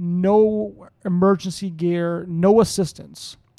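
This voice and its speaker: Pitched high, a man's dark, mellow voice keeps a fairly even intonation. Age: 30s. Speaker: podcast host at a rescue mission. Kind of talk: prayer; interview. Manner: halting.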